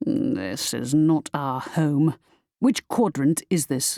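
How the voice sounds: A man's growling, put-on character voice at a fairly high pitch and a very slow pace.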